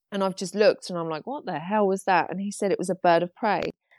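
A woman with an English accent in a very clean recording with a silent background. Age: 30s. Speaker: artist. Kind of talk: interview about pet loss.

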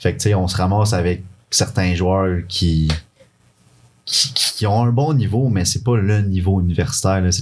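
A man with a fairly low, somewhat breathy voice speaks at a fairly slow pace, with very even loudness, ordinary pitch variation, and long, frequent pauses. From Quebec City. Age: 20s. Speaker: university soccer player. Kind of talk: casual chat.

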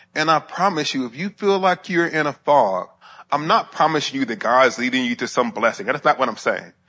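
Over a quiet background, a man talks at a fairly quick pace with a fairly high pitch, a bright, sharp tone and lively intonation. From US South, Alabama (Huntsville). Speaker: professor and theologian. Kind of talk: lecture.

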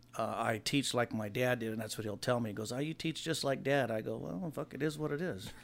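At a fairly quick pace, a man talks in an unremarkable speaking voice at medium pitch with ordinary pitch variation. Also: hardly any pauses. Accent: American. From US West Coast, Los Angeles area. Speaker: hot rod builder, son of a hot rod figure. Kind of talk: casual chat.

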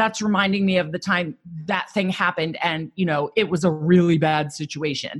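A woman with a fairly low, somewhat breathy voice speaks at a moderate pace with fairly even intonation. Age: 40s. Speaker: psychotherapist turned coach. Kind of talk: podcast interview.

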